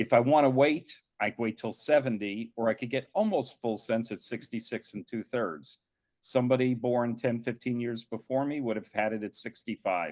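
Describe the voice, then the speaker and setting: A man with an ordinary speaking voice talks at a moderate pace with hardly any pauses. His medium pitch shows ordinary variation, and the sound is dry and close with no echo. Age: 60s. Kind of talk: panel discussion.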